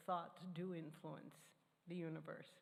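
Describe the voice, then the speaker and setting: A woman's fairly low, flat, monotone voice with vocal fry, at a fairly slow pace and with audible room echo. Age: 80s+. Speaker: church member sharing personal testimony. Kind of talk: sermon.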